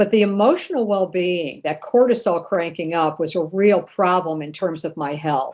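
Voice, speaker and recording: A woman's voice, an ordinary speaking voice, with lively intonation at a moderate pace. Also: very clean recording, silent background. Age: 60s. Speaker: human rights advocate and author. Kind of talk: podcast interview.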